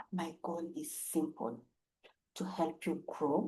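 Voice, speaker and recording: A woman speaks with a Kenyan accent. Her tone is dark and mellow, and somewhat breathy. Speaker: English teacher. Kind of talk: self-introduction to camera. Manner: friendly, warm.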